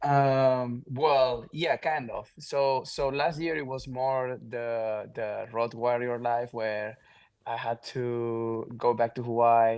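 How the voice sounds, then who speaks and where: A man with a Catalan accent speaks at a very slow pace. His medium pitch carries monotone, flat intonation. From Mallorca, Spain. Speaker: pro pickleball player. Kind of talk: podcast interview.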